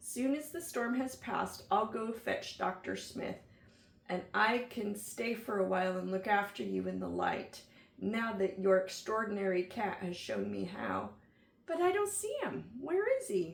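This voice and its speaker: A raspy, put-on character voice delivered at a moderate pace. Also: woman, medium pitch for a woman. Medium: read story.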